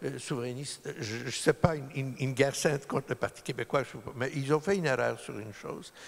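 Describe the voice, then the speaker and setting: Talking at a fairly quick pace, a man with a medium pitch shows ordinary pitch variation and big swings in loudness. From Poland, then Montreal from age 9. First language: Polish (speaking French). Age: 60s. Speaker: lawyer. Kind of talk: public talk. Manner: halting.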